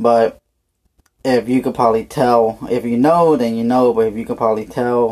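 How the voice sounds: A man with a medium pitch and a slightly mellow tone talks at a moderate pace with fairly even intonation.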